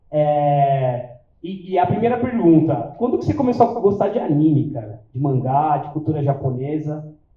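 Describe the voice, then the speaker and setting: Delivered in a São Paulo accent at a moderate pace, the speech has very wide pitch swings and big swings in loudness with hardly any pauses. Audible room echo surrounds the voice. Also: man, fairly high pitch for a man. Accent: Paulistano Brazilian Portuguese. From São Paulo, Brazil (south zone). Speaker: event organizer and interviewer. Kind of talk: live event talk to audience. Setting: stage with audience. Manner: casual, halting with fillers.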